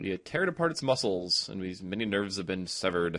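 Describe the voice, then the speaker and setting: A man talks fairly quickly in a bright, sharp tone. The background is quiet. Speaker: gaming commentator. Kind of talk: let's play commentary. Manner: animated.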